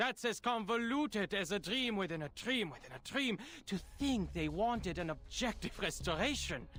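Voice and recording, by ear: Reading a text aloud naturally, the speaker's intonation stays lively.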